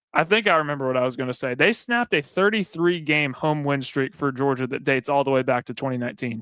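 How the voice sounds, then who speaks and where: With a Southern US accent, a man speaks at a very fast pace in a fairly high pitch, his intonation lively. His tone is bright and sharp, and the sound is dry and close with no echo. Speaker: sports radio co-host. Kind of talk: casual sports talk.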